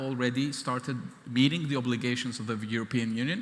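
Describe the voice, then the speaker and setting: Fairly even intonation marks this man's speech. He talks at a fairly quick pace with a medium pitch. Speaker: government chief scientist. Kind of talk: keynote speech. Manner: fast.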